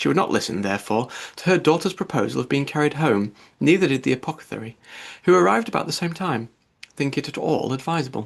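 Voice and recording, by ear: A man at medium pitch, fast pace, lively intonation and vocal fry.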